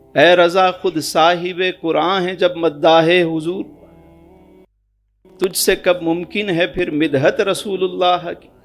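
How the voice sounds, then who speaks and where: The man's voice is high and monotone, with flat intonation. Music plays behind him. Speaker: Islamic preacher giving a sermon. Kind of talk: religious sermon narrating an anecdote.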